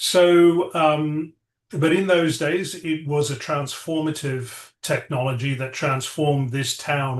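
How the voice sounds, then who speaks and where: A man speaks very slowly, his pitch fairly high with fairly even intonation. The background is quiet. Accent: British. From England (from age eight; born South Africa). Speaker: tech entrepreneur, AI lab CEO. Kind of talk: interview. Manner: halting, many fillers.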